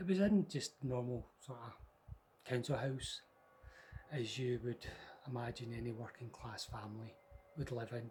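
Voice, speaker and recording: A medium-pitched, somewhat breathy man's voice in a Scottish accent, at a moderate pace with ordinary pitch variation and long, frequent pauses. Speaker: storyteller. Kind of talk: personal ghost story told to camera. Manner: casual, conversational.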